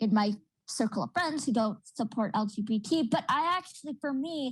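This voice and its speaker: A somewhat breathy woman speaks at a moderate pace with ordinary pitch variation, in a very clean recording with a silent background. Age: 20s. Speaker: university student, panelist. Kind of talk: panel discussion.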